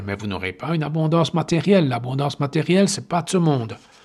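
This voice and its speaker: Lively intonation marks a man's voice pitched fairly high. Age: 60s. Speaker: meditation teacher and healer. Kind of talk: podcast monologue. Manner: halting.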